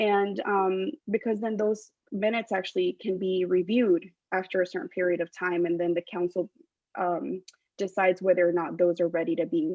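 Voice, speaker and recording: A woman with a Spanish accent talks at a moderate pace, her medium pitch showing ordinary variation. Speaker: political candidate. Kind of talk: candidate forum answers. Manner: hesitant, many filler ums.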